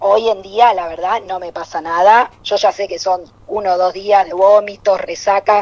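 A woman in a Rioplatense accent talks at medium pitch and a fairly slow pace, her loudness swinging widely. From Buenos Aires. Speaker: comedian. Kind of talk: stand-up.

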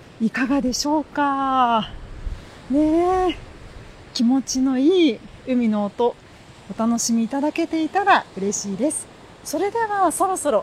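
High in pitch, a woman's voice makes very wide pitch swings. She talks at a fairly slow pace with long, frequent pauses. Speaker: podcast host. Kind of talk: casual monologue. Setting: outdoors by the sea. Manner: polite formal.

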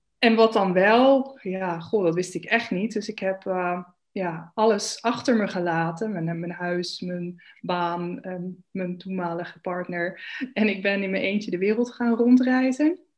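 Here a woman has a plain, everyday voice at a medium pitch with ordinary pitch variation. Her pace is fairly slow. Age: 30s. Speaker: spiritual coach and yoga teacher. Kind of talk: interview.

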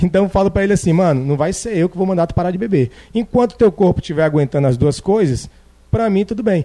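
A man speaks at a very fast pace with a high pitch. His tone is dark and mellow. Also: lively intonation. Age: 30s. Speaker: personal trainer and jiu-jitsu athlete. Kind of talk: casual chat.

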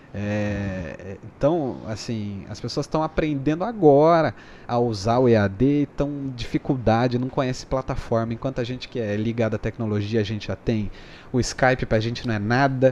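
In a plain, everyday voice, a man talks at a moderate pace and medium pitch with ordinary pitch variation. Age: 20s. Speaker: YouTuber and filter creator. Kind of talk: casual chat.

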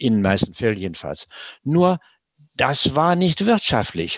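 A man's moderate-paced speech with very wide pitch swings, over a quiet background. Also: dry, close sound with no echo. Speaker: preventive medicine physician. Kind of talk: interview. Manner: hesitant fillers.

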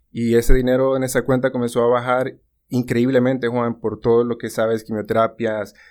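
A medium-pitched man at a moderate pace, monotone and flat, in a very clean recording with a silent background. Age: 30s. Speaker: insurance agent. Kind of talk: casual chat.

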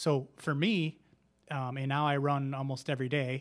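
The recording is very clean with a silent background. A man with a fairly high pitch uses a normal speaking voice with fairly even intonation. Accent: American. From Wisconsin, Racine. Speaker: running club founder and coach. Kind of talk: casual interview.

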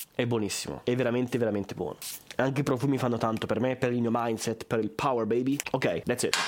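Noticeable noise sits behind a man who talks very fast. His loudness stays very even and his intonation fairly even. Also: medium pitch for a man. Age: 20s. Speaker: podcaster and content creator. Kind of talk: casual unscripted monologue. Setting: home room, camera.

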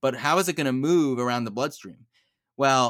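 An ordinary speaking voice comes from a man with an American accent at a moderate pace. His pitch varies in an ordinary way on a very clean recording with a silent background. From Monsey, New York. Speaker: cardiologist. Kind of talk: interview, medical explanation.

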